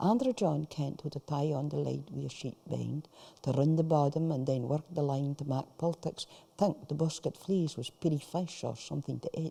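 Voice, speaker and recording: The pace is moderate. The speaker has a Shetland accent. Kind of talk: story reading.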